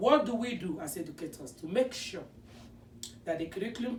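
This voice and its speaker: A woman speaks with a non-native accent and lively intonation. Audible room echo surrounds her voice. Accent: non-native accent from home country. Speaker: special education teacher. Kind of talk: presentation.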